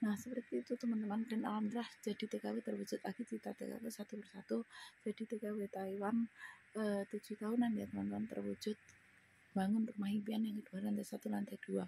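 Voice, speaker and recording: Very fast talk from a woman, dry and close-miked, no echo at all. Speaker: migrant domestic worker vlogger. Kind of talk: personal testimony vlog. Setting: indoors, in her room. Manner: casual, conversational.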